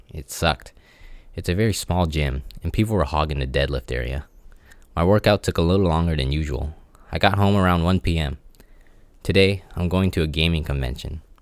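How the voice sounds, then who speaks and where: In a very clean recording with a silent background, a man with a very deep, low voice and vocal fry speaks at a fairly quick pace, leaving long, frequent pauses and using ordinary pitch variation. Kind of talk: personal audio diary. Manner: awkward pauses, lip smacking; halting, unpracticed speaker.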